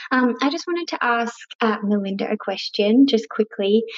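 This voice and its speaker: This woman has an Australian accent. Her pitch variation is ordinary. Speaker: voicemail caller, mother. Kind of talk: recorded voicemail.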